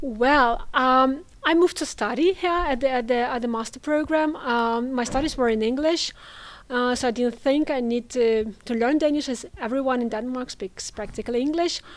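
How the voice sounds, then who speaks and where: The voice has a Russian accent, a moderate pace and ordinary pitch variation. The recording is very clean, with a silent background. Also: woman, high pitch for a woman. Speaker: international students coordinator. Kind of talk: interview. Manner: hesitant, many fillers.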